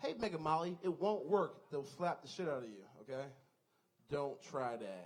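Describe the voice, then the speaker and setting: With an American accent, a man speaks with vocal fry and very wide pitch swings. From Washington DC. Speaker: comedian. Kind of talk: stand-up. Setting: stage with audience.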